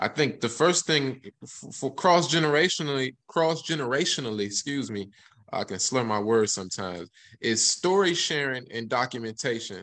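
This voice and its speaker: A man speaks at a moderate pace with lively intonation and a bright, sharp tone. The background is quiet. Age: 30s. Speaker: artist; panelist. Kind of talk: casual chat. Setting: video call. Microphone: video call.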